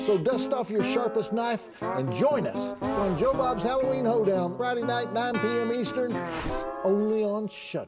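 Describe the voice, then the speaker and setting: Loud music plays behind a man speaking. He goes at a fairly slow pace with hardly any pauses. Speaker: horror host, movie critic. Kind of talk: TV promo. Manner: upbeat. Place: studio.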